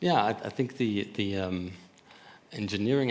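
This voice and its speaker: In a room with audible echo, a man speaks at a fairly low pitch with ordinary pitch variation. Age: 50s. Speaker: panelist, toy maker and company owner. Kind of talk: panel discussion. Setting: conference stage with audience. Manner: halting, many repetitions.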